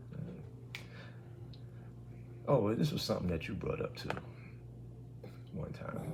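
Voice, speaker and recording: Over noticeable background noise and audible room echo, a man's voice makes very wide pitch swings. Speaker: podcast co-host. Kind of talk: casual chat. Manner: loud.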